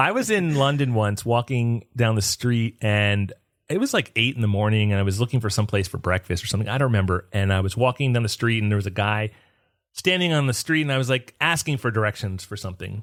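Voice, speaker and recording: A man with a northern US accent talks very fast at a medium pitch, with ordinary pitch variation. The recording is very clean, with a silent background. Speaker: podcast host. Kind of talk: casual chat.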